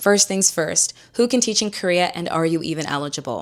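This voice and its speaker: A woman speaks in a plain, everyday voice at a medium pitch. She talks at a fairly quick pace with ordinary pitch variation. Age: 20s. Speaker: YouTuber. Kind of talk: tutorial. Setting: at home on the couch. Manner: casual, conversational.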